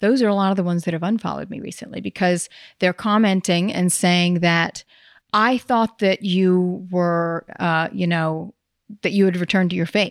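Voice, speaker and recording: A woman with an American accent talks at a moderate pace and medium pitch. The sound is dry and close with no echo, and the recording is very clean with a silent background. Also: fairly even intonation. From US South. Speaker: actress. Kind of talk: casual chat.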